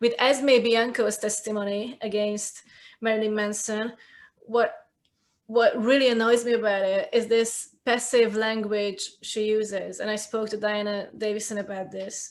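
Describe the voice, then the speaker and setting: A woman's fairly high voice with a Hungarian accent, monotone and flat in intonation, at a fairly slow pace. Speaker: cultural commentator, video creator. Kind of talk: casual chat.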